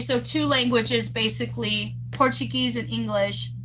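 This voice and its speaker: A woman talks at a moderate pace, with noticeable background noise and audible room echo. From Texas. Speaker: livestreamer. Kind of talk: casual live chat with viewers. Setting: outdoors. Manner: halting, gets tongue-tied.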